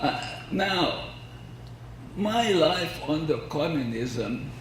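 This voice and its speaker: Lively intonation from a man with fairly high pitch at a very slow pace, with audible room echo and noticeable background noise. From Hungary. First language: Hungarian. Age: 80s+. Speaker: violin researcher. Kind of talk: lecture.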